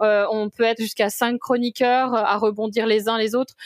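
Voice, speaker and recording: A woman with a fairly high pitch talks at a moderate pace, her intonation fairly even. The recording is very clean, with a silent background and a dry, close sound with no echo. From France, Brittany. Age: 40s. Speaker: corporate lawyer and film critic. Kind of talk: interview podcast. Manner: hesitant, many fillers.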